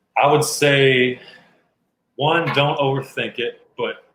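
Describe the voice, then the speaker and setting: The speaker is a man. His accent is Southern US. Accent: Southern American. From US South, Kentucky. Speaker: actor and bodybuilder. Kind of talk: interview answers.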